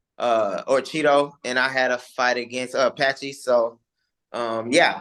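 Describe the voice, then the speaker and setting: A man with a normal speaking voice talks at a fairly slow pace and a fairly high pitch. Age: 30s. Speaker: MMA fighter. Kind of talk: interview.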